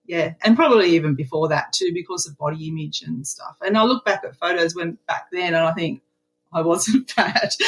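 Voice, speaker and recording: In an Australian accent, a woman with a fairly low, somewhat breathy voice speaks at a moderate pace, her pitch varying in an ordinary way while her loudness swings widely. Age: 60s. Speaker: retiree, program member. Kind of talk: interview.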